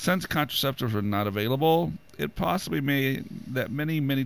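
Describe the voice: Someone reads the words aloud plainly.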